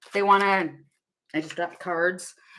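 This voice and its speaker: Loud and bright, a woman's voice has a sharp tone. She keeps a moderate pace. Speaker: tarot reader. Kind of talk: live tarot reading stream.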